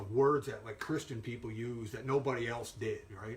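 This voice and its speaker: Noticeable background noise sits under speech that moves at a fairly quick pace with fairly even intonation. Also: man. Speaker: Bible teacher. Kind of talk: Bible lesson; casual sign-off. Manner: halting, many fillers.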